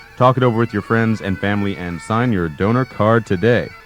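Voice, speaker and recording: A man's fairly low voice at a fairly quick pace, with music in the background. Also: ordinary pitch variation. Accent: American. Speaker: radio host and voice actor. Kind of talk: college radio DJ banter. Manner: jokey, playful, rambling.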